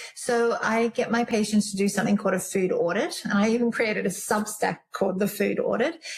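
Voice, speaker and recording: Speaking at a fairly quick pace with hardly any pauses, a woman keeps a very even loudness and ordinary pitch variation in a fairly high voice over noticeable background noise. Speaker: naturopath and medical herbalist. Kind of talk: interview conversation. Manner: whispering briefly.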